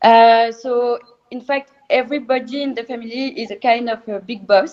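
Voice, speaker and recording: Her French accent clear, a woman speaks at a moderate pace in a high voice with fairly even intonation and big swings in loudness. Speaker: champagne producer. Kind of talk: online interview. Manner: hesitant, many filler sounds.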